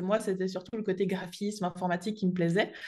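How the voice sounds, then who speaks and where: A woman speaks against a quiet background. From Switzerland (French-speaking). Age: 20s. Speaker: entrepreneur, graphic designer and online trainer. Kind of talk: podcast interview.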